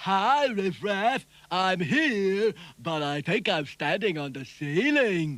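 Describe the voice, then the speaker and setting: Putting on a cartoonish character voice, a man speaks with a high pitch at a very slow pace. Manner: slow, dopey.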